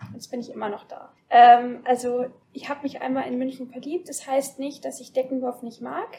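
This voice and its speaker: A woman's high-pitched voice at a moderate pace, fairly even in intonation but with big swings in loudness. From Bavarian Forest, Deggendorf district. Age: 20s. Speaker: guest. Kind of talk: casual chat. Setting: studio. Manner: halting, many fillers.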